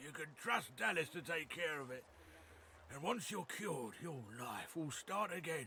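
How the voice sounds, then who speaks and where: Using a put-on character voice that is raspy and fairly high-pitched, a man speaks at a moderate pace with lively intonation over clear background noise. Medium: video game. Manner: folksy, plain-spoken.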